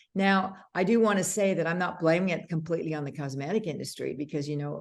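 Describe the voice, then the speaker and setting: A woman speaks with a very deep, low pitch and fairly even intonation. Room echo is audible. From Canada. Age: 60s. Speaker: makeup artist and beauty brand founder. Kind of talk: interview conversation.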